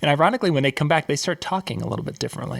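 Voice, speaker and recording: Over noticeable background noise, a man with a Minnesota accent talks at a very fast pace and a fairly high pitch. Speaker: show host. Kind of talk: interview.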